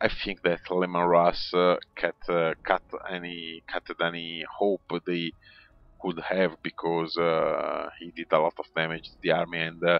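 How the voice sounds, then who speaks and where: Speaking in an Italian accent, a man with a very deep, low voice keeps his intonation flat and monotone while his loudness swings widely. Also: fairly slow pace. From Italy. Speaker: video game commentator. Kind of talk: game replay commentary. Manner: halting, many fillers.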